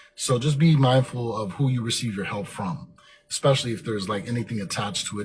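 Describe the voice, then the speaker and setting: Talking at a very fast pace, a man holds a medium pitch with ordinary variation. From Germany. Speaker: motivational podcast host. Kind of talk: motivational monologue. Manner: filler-heavy, occasionally tongue-tied.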